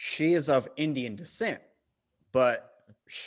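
Over a quiet background, a man in a Southern US accent speaks with ordinary pitch variation. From US South. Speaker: podcast host guest.

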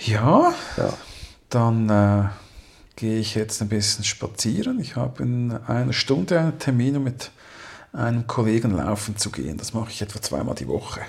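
A man's somewhat breathy, medium-pitched voice at a moderate pace, with ordinary pitch variation and long, frequent pauses. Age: 40s. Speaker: podcast co-host. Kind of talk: casual chat.

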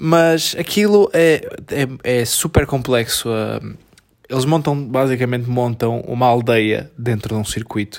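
A man talks at a medium pitch and a fairly slow pace. He leaves long, frequent pauses, and his pitch varies in an ordinary way. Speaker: podcast co-host. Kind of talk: casual chat. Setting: at home on the sofa.

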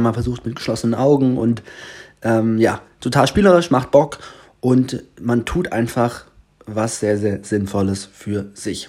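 Dark, mellow tone in a man's medium-pitched voice. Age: 20s. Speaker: podcast host and teacher. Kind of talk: casual solo podcast monologue. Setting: indoors in a sister's apartment.

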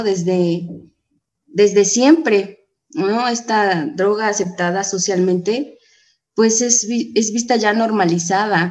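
Very slow speech from a woman at a fairly high pitch, with ordinary pitch variation. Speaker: AA member. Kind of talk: testimony.

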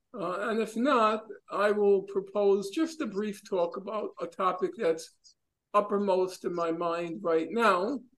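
A man with a high voice speaks fairly slowly, using ordinary pitch variation. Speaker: teacher leading a reading class. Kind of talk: online seminar discussion. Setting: video call. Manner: animated.

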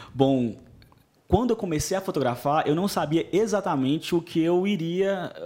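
The man's tone is dark and mellow. His intonation is lively, his pace moderate. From Brazil, Montes Claros (Minas Gerais). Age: 30s. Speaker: wedding photographer. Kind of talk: podcast interview.

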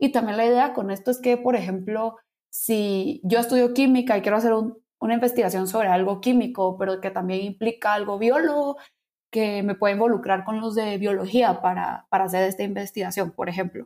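At a fairly quick pace, a woman speaks with a dark, mellow tone at medium pitch. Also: ordinary pitch variation. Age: young. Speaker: university student. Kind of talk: casual interview.

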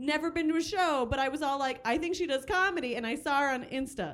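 Speaking very fast, a woman uses a high-pitched voice. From Cuban heritage. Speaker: podcast guest. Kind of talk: casual chat.

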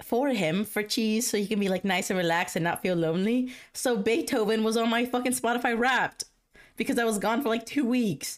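A woman at a fairly quick pace, animated in tone, with very even loudness on a very clean recording over a silent background. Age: 20s. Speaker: podcast host. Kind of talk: casual chat. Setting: home.

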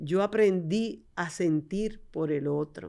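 This woman has a Dominican accent and a medium pitch. Her tone is dark and mellow, with ordinary pitch variation. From Dominican Republic, San Juan de la Maguana. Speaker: podcast host and dentist. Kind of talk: casual interview.

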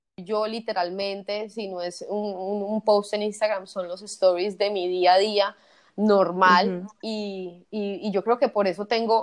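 A woman talks at a fairly slow pace in a monotone, flat intonation. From Colombia, Medellín. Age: 30s. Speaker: kitesurf tour operator. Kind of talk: interview, personal testimony.

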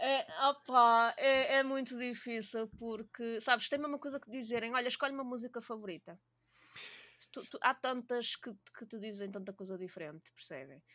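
The voice has a bright, sharp tone and ordinary pitch variation. It moves at a moderate pace with big swings in loudness. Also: woman, high pitch for a woman. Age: 20s. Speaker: gaming community organizer. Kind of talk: casual chat.

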